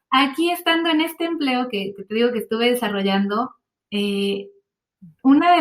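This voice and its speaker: With a Mexican accent, a woman speaks at a moderate pace in a fairly high pitch, her intonation lively. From Mexico. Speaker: translator, voice-over artist and yoga teacher. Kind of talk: interview answer.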